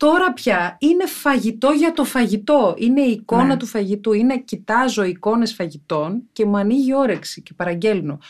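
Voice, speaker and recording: A woman's fairly high voice at a moderate pace, with very wide pitch swings, big swings in loudness and hardly any pauses. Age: 40s. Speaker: podcast host. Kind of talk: casual chat.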